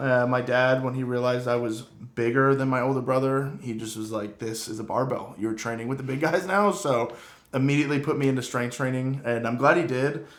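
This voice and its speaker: There is audible room echo around a man's voice. He talks at a fairly quick pace with hardly any pauses. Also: medium pitch for a man, ordinary pitch variation. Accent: American. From Vermont, US New England. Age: 20s. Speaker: strength and conditioning coach, podcast co-host. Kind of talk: casual chat.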